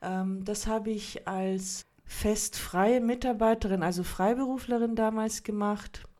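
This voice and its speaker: A woman with a fairly high pitch and a dark, mellow tone speaks at a very slow pace with fairly even intonation and hardly any pauses. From Munich, Germany. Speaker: communication designer. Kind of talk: casual interview.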